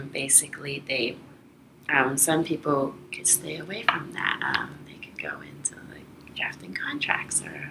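Whispering at a fairly slow pace with big swings in loudness, a woman is heard over noticeable background noise and audible room echo. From Toronto, Canada. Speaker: international trade lawyer. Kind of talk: interview. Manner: halting, many fillers.

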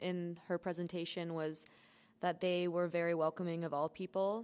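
In a normal speaking voice, a woman with a Canadian accent talks at a moderate pace. Her pitch is fairly low. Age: 20s. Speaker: student podcast co-host. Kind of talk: casual chat.

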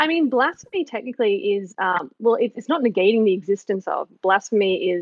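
This woman speaks with an Australian accent. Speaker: caller. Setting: phone. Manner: fast talker.

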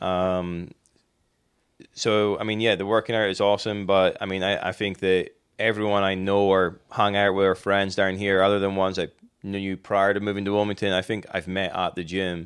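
In a Scottish accent, a man speaks with a monotone, flat intonation. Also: fairly low pitch for a man, moderate pace. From Scotland; Inverness. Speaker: teacher. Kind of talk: casual interview chat.

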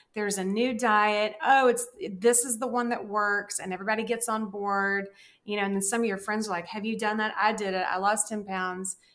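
Monotone, flat delivery in a Southern US accent at a fairly quick pace. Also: woman, fairly high pitch for a woman. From US South. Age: 50s. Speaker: dietitian and writer. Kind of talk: casual chat.

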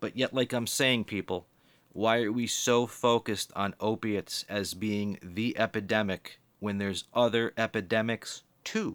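A man with an American accent, fairly low in pitch, at a moderate pace, in a very clean recording with a silent background and a dry, close sound with no echo. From US Northeast (Boston area, Massachusetts). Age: 40s. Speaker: podcast host. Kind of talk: casual monologue. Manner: animated.

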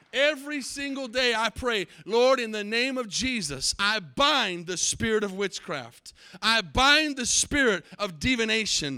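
Speaking with an American accent, a man with a high pitch and a bright, sharp tone projects a raised voice with lively intonation at a fairly slow pace, with hardly any pauses. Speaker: pastor. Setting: church service with live congregation. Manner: fervent and emphatic, punchy repeated declarations; loose, self-interrupting delivery with restarts and asides.

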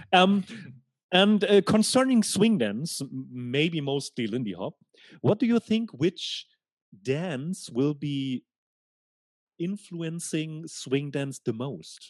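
A man speaks very slowly with a German accent, leaving long, frequent pauses. His pitch swings very widely, and the sound is dry and close with no echo. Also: fairly high pitch for a man, quiet background. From Germany, Hanover. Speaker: podcast host, German teacher. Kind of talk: casual interview conversation. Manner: halting, repeats words.

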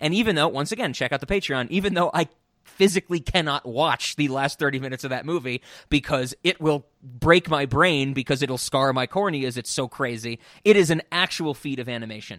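In a plain, everyday voice with an American accent, the speaker moves at a fairly quick pace with ordinary pitch variation, in a dry, close sound with no echo on a very clean recording with a silent background. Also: man, fairly high pitch for a man. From US. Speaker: podcast co-host. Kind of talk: casual chat.

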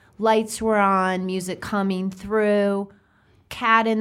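Here a woman speaks at a medium pitch. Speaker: family law attorney and podcast host. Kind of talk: casual interview. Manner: talkative.

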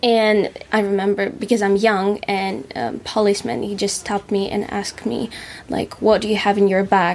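A woman with a Russian accent talks at a moderate pace, her medium pitch showing ordinary variation. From Russia, Moscow area. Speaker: musician and actress. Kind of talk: casual chat.

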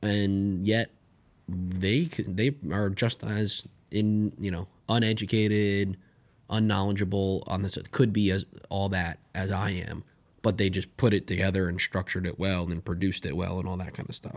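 This man has an unremarkable speaking voice, fairly low in pitch. He talks at a moderate pace with fairly even intonation. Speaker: podcast co-host. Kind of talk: casual chat.

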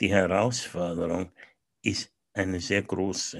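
The background is quiet while a man delivers his words at a very slow pace. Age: 70s. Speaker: business coach. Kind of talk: interview.

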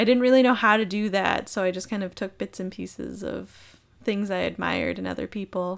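A woman's ordinary speaking voice with an American accent, medium pitch, fairly even intonation and a fairly quick pace with hardly any pauses. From Minnesota. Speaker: sales manager. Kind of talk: casual chat.

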